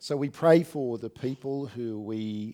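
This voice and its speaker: A man with an Australian accent, very slow pace, dark, mellow tone and ordinary pitch variation. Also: very clean recording, silent background. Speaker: pastor. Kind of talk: sermon. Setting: church.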